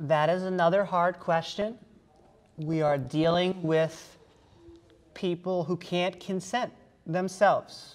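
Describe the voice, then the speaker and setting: A woman speaks at a fairly low pitch with fairly even intonation. She goes very slowly, with long, frequent pauses. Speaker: debate panelist. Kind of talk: panel debate. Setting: stage with audience. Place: meeting room.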